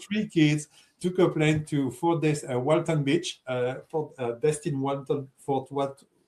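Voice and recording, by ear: With a French accent, a man talks at a fairly slow pace and a fairly high pitch. His tone is slightly mellow and his intonation fairly even.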